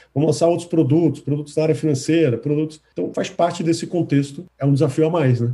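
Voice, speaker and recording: This is a man speaking. His pitch is fairly high. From Brazil, Recife (Pernambuco). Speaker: tech company executive. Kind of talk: interview.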